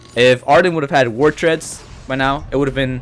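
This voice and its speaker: A man's fairly high voice, fairly quick and fairly even in intonation, over noticeable background noise. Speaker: mobile game commentator. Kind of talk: gameplay voiceover commentary. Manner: halting, stuttering; casual.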